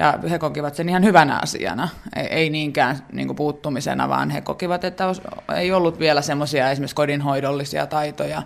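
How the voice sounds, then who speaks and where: A man talks at a very fast pace with fairly even intonation. Noticeable background noise runs underneath. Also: fairly high pitch for a man. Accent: Finnish. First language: Finnish (speaking Swedish). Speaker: researcher. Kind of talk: interview.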